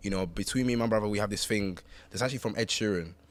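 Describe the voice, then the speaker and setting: A man with a London accent talks at a very fast pace. His voice sits fairly low in pitch with fairly even intonation. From East London, England. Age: 20s. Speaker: rapper and singer. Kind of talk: casual chat.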